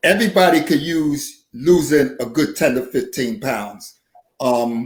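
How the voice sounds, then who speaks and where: A man with a fairly high pitch and a normal speaking voice, at a fairly slow pace. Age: 60s. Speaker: nurse and poet. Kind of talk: casual chat.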